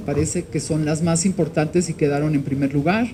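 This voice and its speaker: A woman is speaking. Her pace is moderate. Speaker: victims' rights activist. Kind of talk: formal speech at press event. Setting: Senate hall with audience.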